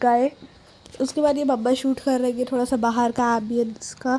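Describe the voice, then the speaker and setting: Pitched high, this woman's delivery stays monotone and flat in intonation. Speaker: vlogger. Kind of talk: vlog voice-over narration. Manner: casual, chatty.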